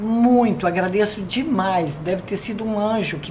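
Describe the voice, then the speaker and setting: A woman's medium-pitched voice at a fairly slow pace, with audible room echo and noticeable background noise. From Brazil, São Paulo state interior (Americana). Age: 70s. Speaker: retired educator. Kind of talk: interview.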